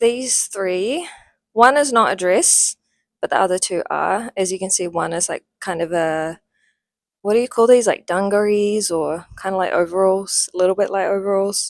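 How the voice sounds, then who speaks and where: A woman with a New Zealand accent talks at a moderate pace in a medium pitch. The sound is dry and close with no echo, and her pitch varies in an ordinary way. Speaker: lifestyle vlogger. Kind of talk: casual haul video chat. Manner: casual, chatty.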